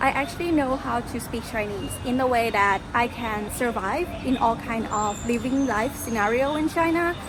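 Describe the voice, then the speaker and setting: A woman with a Thai accent and a high pitch speaks with ordinary pitch variation and hardly any pauses, with audible room echo and noticeable background noise. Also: moderate pace. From Thailand. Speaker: travel vlogger. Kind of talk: casual vlog Q&A. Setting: outdoors.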